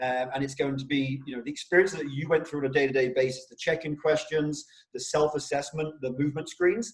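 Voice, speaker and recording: Speaking at a very fast pace with an English accent, a man uses a fairly high pitch and fairly even intonation, his loudness swinging widely. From England. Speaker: rehab company CEO, interview host. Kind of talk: interview.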